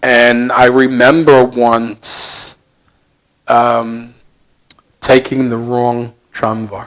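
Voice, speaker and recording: A man with an American accent speaks at a very slow pace in a medium-pitched, monotone voice with flat intonation, leaving long, frequent pauses. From United States. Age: 70s. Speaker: volunteer charity worker, former hockey coach. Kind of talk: interview. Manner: halting, with fillers.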